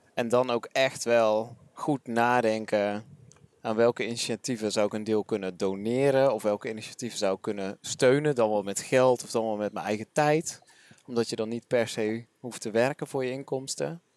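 A man speaks at a moderate pace with a medium pitch and fairly even intonation. The sound is dry and close, with no echo. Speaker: podcast host, interviewer. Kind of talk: casual interview. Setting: walking outdoors in a park.

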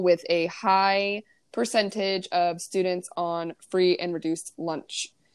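A woman with an American accent uses an ordinary speaking voice at a medium pitch, fairly slow and with fairly even intonation, in a very clean recording with a silent background. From US, Ozark Mountains. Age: 20s. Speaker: podcast co-host, teacher. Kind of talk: casual chat.

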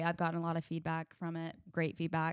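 A woman speaks in a fairly low pitch, an ordinary speaking voice. The recording is very clean, with a silent background. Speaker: singer-songwriter. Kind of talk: casual chat. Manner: uses many fillers.

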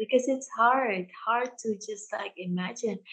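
A woman's voice, somewhat breathy and fairly high in pitch. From Indonesia (Jakarta), Indian family. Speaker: yoga teacher. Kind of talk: casual interview chat; guided instruction. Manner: halting, many fillers.

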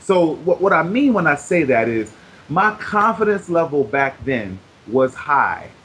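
High-pitched for a man, this American-accented speaker goes at a fairly slow pace with very wide pitch swings and very even loudness. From Brooklyn, New York. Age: 30s. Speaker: weight-loss success story, author. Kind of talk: interview. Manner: animated.

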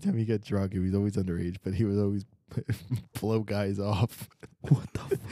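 A man's fairly low, dark, mellow voice in a dry, close sound with no echo. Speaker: podcast host. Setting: hotel lodge on ski trip. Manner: joking.

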